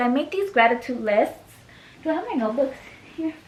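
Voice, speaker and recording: A woman mumbling at a high pitch. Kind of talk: casual talk to camera. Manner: mumbled.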